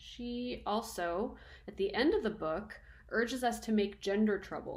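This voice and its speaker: A woman talks at a fairly high pitch with ordinary pitch variation. Her somewhat breathy voice carries audible room echo. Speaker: university lecturer. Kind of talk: lecture. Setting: recording at home. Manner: casual, conversational.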